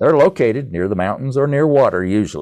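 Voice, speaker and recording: Fairly quick, lively speech from a man with an American accent and a dark, mellow tone, over a quiet background. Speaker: composer and entrepreneur. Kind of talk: casual interview.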